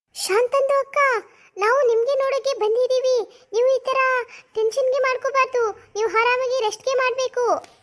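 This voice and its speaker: A woman puts on a cartoonish character voice at an extremely high pitch. She speaks at a fairly slow pace. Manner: sing-song, teasing.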